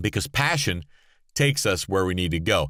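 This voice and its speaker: On a very clean recording with a silent background, a man speaks in an animated tone, bright and sharp, with vocal fry. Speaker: motivational speaker and podcaster. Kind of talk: motivational monologue. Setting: podcast sound booth.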